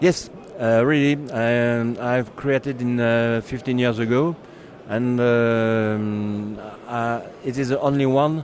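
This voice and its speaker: Noticeable background noise sits behind the recording. A man of medium pitch speaks at a very slow pace with fairly even intonation. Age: 70s. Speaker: racing driver and magazine founder. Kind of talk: interview. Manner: halting, many hesitations.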